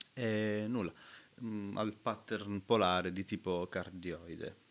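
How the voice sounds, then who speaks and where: Fairly even intonation runs through a man's very deep, low voice. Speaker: recording studio engineer; gear reviewer. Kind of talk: product review tutorial. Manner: hesitant, many fillers. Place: home room. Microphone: webcam.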